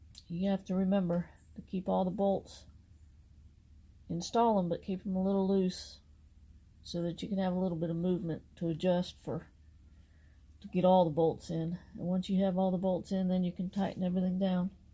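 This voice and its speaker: A woman's relaxed, somewhat breathy voice with a dark, mellow tone, monotone, flat intonation and long, frequent pauses. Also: medium pitch for a woman, fairly quick pace. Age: 60s. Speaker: aircraft mechanic and DIY car vlogger. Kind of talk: tutorial. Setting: outdoors. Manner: casual, relaxed.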